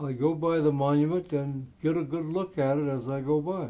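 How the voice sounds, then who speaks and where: A man's fairly high-pitched voice with a Californian accent. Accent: Californian American. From US West, Taft, California. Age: 80s+. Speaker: local historian and war veteran. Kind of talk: interview reminiscence. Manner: halting, frequent fillers.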